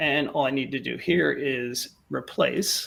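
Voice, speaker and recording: With lively intonation, a man speaks with vocal fry. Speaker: data visualization presenter. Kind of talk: tutorial.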